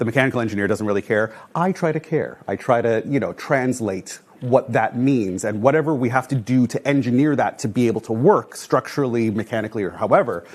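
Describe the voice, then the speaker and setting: A man with a Canadian accent and a normal speaking voice, medium pitch, ordinary pitch variation, a fairly quick pace and hardly any pauses. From Canada, Toronto. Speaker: building enclosure engineer. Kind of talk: lecture. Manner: casual, many fillers.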